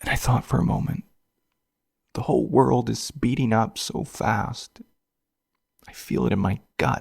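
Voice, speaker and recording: This man speaks at a fairly slow pace, leaving long, frequent pauses. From western Canada, Vancouver Island. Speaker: podcast host. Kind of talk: reflective podcast narration.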